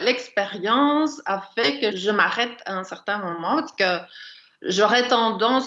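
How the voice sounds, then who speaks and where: A woman with a fairly high, bright and sharp voice speaks fairly slowly, her intonation lively. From Brussels, Belgium. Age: 60s. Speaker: writer. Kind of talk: casual chat.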